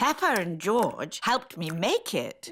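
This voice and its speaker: In a cartoonish character voice, this female-sounding speaker talks at a fairly slow pace with fairly high pitch. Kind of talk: children's cartoon. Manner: warm, gentle.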